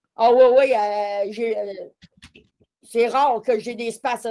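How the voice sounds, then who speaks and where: A woman's fairly high voice, monotone with flat intonation. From Quebec, Matapédia Valley. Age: 50s. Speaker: person living with multiple sclerosis. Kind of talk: casual interview.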